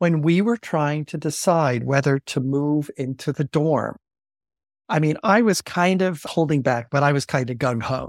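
A man with an American accent and a fairly high pitch talks in a normal speaking voice at a moderate pace with ordinary pitch variation, on a very clean recording with a silent background and a dry, close sound with no echo. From US, Long Island, New York. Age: 60s. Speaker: theology professor. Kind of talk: interview.

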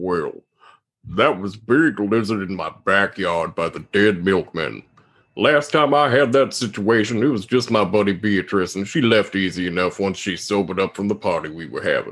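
Against a quiet background, a man puts on a croaky character voice. It sits fairly low in pitch and moves at a moderate pace.

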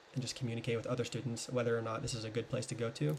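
A man with an American accent speaks at medium pitch in a somewhat breathy voice. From US South. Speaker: podcast guest. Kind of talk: casual chat.

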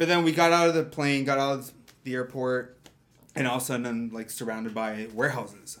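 In a Canadian accent, a man with an unremarkable speaking voice talks at a fairly quick pace, his medium pitch showing ordinary variation. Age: 30s. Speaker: photographer. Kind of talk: casual chat.

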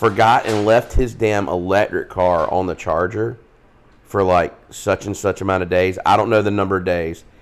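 Speaking with a Southern US accent, a man keeps his fairly low voice at a fairly even intonation. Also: moderate pace. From US South, South Carolina. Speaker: podcast co-host. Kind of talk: casual chat.

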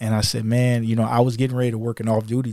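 A man speaks with a Louisiana accent. His pitch sits fairly low. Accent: US South, Louisiana. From Louisiana, near New Orleans (Kenner). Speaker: police officer and youth mentor. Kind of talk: casual interview chat.

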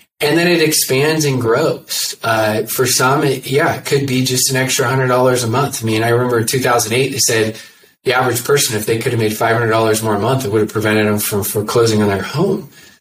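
Somewhat breathy and medium in pitch, a man talks at a fairly quick pace with ordinary pitch variation and hardly any pauses. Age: 40s. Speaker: network marketing coach and speaker. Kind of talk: interview. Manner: soft-spoken, chill.

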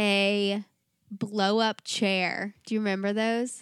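In a dry, close sound with no echo and a silent background, a very clean recording catches a woman at medium pitch with an American accent talking at a very slow pace. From US South. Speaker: podcast co-host. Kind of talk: casual chat. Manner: animated.

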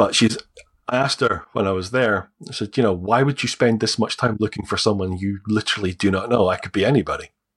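A man with a Scottish accent talks at a very fast pace in a fairly low pitch. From Scotland. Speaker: adoptee. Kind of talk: interview telling personal story. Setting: video call.

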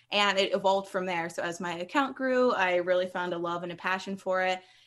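A woman talks at a very fast pace with an American accent. Her pitch is medium. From US East Coast, Maryland (near Baltimore). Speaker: cookbook author and food blogger. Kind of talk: casual interview.

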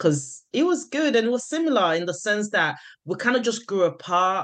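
With an ordinary speaking voice, a woman talks at a moderate pace and with lively intonation over a quiet background. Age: 30s. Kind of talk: casual chat.

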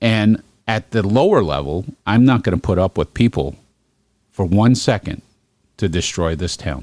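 Speaking with a New York accent, a man uses a fairly low pitch and lively intonation, with long, frequent pauses and a dry, close sound with no echo. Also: moderate pace. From Brooklyn, New York. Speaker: podcast host. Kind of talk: casual political chat.

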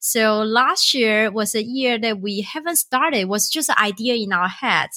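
Her tone bright and sharp, a woman speaks at a fairly high pitch and moderate pace. Her pitch varies in an ordinary way. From Taiwan. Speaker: startup founder. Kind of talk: interview.

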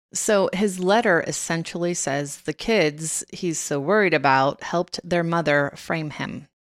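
This woman has an unremarkable speaking voice, fairly low in pitch, delivered at a fairly slow pace with ordinary pitch variation. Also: very clean recording, silent background. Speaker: podcast co-host. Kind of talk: true-crime narration. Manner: serious, conversational; wry, sarcastic.

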